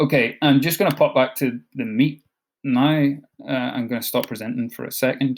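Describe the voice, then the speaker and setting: In a Scottish accent, a man with a medium pitch speaks with fairly even intonation. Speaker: education support officer for digital learning. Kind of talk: online training session. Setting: video call. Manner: fast; hesitant, many fillers.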